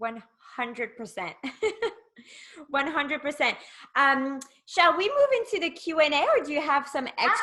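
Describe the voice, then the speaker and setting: Raising and projecting her voice, a woman speaks in a high pitch with a bright, sharp tone, lively intonation, a moderate pace and long, frequent pauses. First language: not English. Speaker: networking host. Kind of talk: casual interview.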